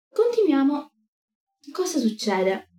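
A somewhat breathy female voice with a dark, mellow tone. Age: 20s. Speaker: streamer teaching ancient history. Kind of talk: livestream lecture. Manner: animated.

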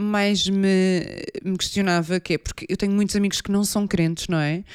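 Silent surroundings and a very clean recording for a woman's mid-range voice. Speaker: podcast host. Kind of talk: casual chat.

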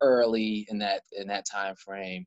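Speaking very slowly, a man uses a fairly low pitch and fairly even intonation. He has an American accent. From Baltimore County, Maryland. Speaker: community group founder. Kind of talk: casual interview. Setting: video call.

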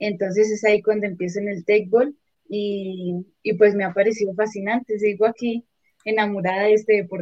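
At a moderate pace, a woman talks in a medium pitch with monotone, flat intonation, recorded with a dry, close sound and no echo. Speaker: teqball and footvolley player. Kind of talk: casual interview.

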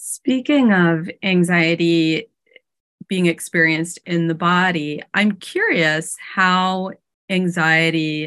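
A woman speaks in a normal speaking voice at a fairly low pitch, with fairly even intonation. The background is quiet. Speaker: podcast host, psychotherapist and coach. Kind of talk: podcast interview.

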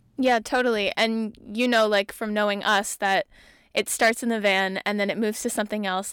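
On a very clean recording with a silent background and a dry, close sound with no echo, a woman speaks at medium pitch with monotone, flat intonation. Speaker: podcast host. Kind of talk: casual chat. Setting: inside a van.

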